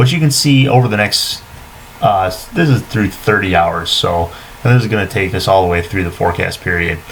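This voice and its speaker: A man talks at a fairly quick pace with lively intonation. His pitch is fairly low, and there is noticeable background noise. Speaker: meteorologist. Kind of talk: weather forecast. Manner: fast.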